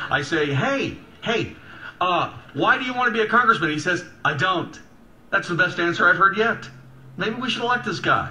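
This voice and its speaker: A man's high, raised and projected voice with lively intonation and long, frequent pauses, against noticeable background noise. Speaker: radio talk show host. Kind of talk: call-in radio interview. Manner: fast.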